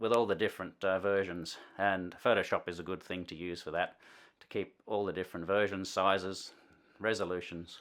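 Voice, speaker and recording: On a very clean recording with a silent background, the speaker uses an Australian accent at a fairly quick pace with monotone, flat intonation. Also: man, very deep, low pitch for a man. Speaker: musician and video tutorial host. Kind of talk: tutorial. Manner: casual, hesitant with frequent fillers.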